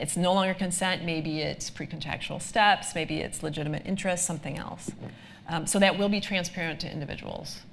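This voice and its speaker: A woman with an American accent has a normal speaking voice, fairly low in pitch. She talks at a fairly quick pace with fairly even intonation. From United States. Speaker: lawyer, data protection expert. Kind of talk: live presentation Q&A. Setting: live event with audience. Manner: frequent filler ums.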